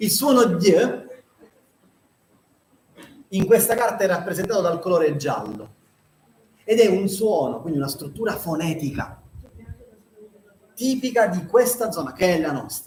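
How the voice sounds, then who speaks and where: At a fairly slow pace with long, frequent pauses, a man talks in a high voice with lively intonation. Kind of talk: explanatory, lecture-like.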